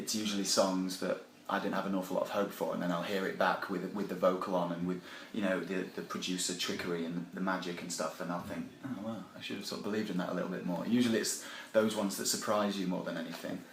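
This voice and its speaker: A man with a Sheffield accent talks at a very fast pace, with a very deep, low pitch and monotone, flat intonation. Audible room echo and noticeable background noise fill the recording. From Yorkshire, Sheffield. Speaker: band member, musician. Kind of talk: casual interview. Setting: backstage at a music festival. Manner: hesitant, lots of fillers.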